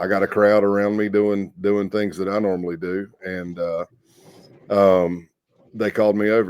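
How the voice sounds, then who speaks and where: Fairly low in pitch, a man talks in a Southern US accent with monotone, flat intonation. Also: moderate pace. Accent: Southern US accent noted by himself. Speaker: former undercover FBI agent. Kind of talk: podcast interview storytelling.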